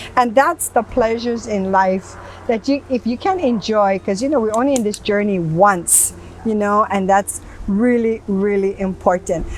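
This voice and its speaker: A woman speaks at a fairly high pitch and a moderate pace. Noticeable background noise runs underneath. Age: 70s. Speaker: talk show host. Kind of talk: interview chat. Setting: outdoors in a garden. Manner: animated.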